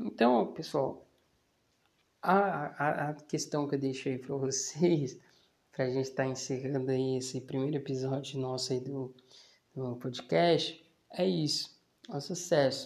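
At a fairly slow pace, a man of medium pitch speaks with ordinary pitch variation and long, frequent pauses. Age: 20s. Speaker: podcast host and small business owner. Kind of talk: casual solo monologue. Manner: hesitant, many fillers.

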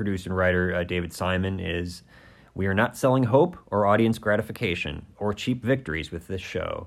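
Using a normal speaking voice, a man talks at a moderate pace and fairly low pitch with ordinary pitch variation. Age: 40s. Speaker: podcast co-host. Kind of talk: casual chat.

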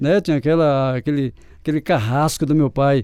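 At a fairly quick pace, a man with a dark, mellow tone is heard in a dry, close sound with no echo. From Brazil, sertão of Paraíba. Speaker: accordion player and music teacher. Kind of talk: interview.

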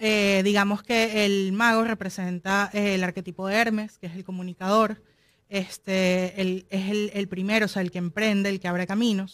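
A woman with a Venezuelan accent speaks at a medium pitch in a monotone, flat intonation. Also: moderate pace. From Venezuela, Caracas. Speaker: film producer and digital marketing specialist. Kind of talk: interview.

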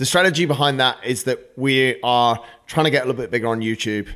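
A man talks at a fairly quick pace in a plain, everyday voice. His pitch varies in an ordinary way. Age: 40s. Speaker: podcast host and fitness coach. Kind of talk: show announcements; casual interview. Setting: studio with mics and video.

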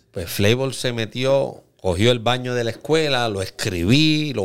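Recorded very cleanly against a silent background, a man with a plain, everyday voice and a medium pitch speaks at a fairly slow pace. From Puerto Rico, Aguadilla. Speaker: graffiti artist. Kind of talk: casual interview.

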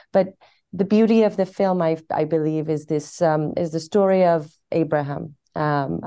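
A woman's very deep, low voice, dark and mellow in tone, at a fairly slow pace against a quiet background. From Iran, then London. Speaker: actress. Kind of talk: interview.

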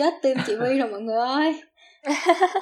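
Over a silent background in a very clean recording, a woman talks with ordinary pitch variation. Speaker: student podcast host, admissions assistant. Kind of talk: casual chat. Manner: animated.

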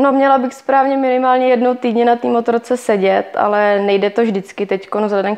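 The woman's pitch varies in an ordinary way as she talks at a moderate tempo. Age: 20s. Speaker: enduro rider. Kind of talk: interview. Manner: halting.

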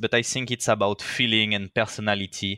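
In a bright, sharp tone with a French accent, a man speaks at a moderate pace on a very clean recording with a silent background. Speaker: motion design director and community founder. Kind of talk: interview.

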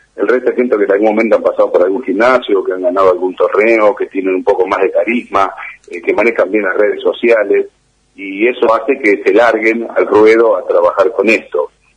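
With an Argentine accent, a man talks at a fairly quick pace. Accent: Argentine Spanish (voseo). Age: 50s. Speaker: fitness trainer and bodybuilder. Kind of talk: interview.

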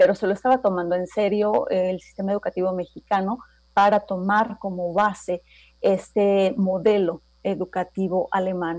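A woman speaks in a normal speaking voice at a medium pitch, keeping a moderate pace and fairly even intonation. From Mexico, Toluca. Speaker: intercultural trainer. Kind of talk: radio interview.

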